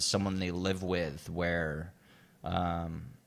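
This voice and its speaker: A man speaks in a very deep, low pitch. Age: 40s. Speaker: podcast co-host. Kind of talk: casual chat.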